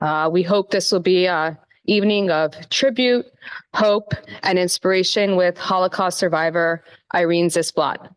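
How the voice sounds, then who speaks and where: A woman speaks at a fairly slow pace in a normal speaking voice, medium in pitch. Her loudness stays very even and her intonation fairly even. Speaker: campus rabbi co-director. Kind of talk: event welcome speech.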